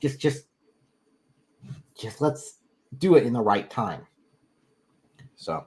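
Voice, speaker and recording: At a very slow pace, a man speaks with a fairly high, somewhat breathy voice, lively intonation, big swings in loudness, and long, frequent pauses. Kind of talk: live stream call-in debate wrap-up. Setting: live stream.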